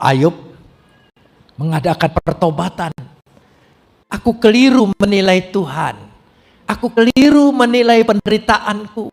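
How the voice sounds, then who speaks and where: This man's voice sits high in pitch, broken by long, frequent pauses. The sound is dry and close, with no echo. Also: lively intonation, fairly slow pace. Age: 70s. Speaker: pastor. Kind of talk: sermon.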